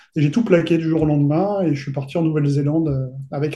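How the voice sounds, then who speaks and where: A man talks at a fairly quick pace in a fairly high, somewhat breathy voice with a dark, mellow tone and fairly even intonation. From southern France, Côte d'Azur. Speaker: fantasy novelist and role-playing game designer. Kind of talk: interview.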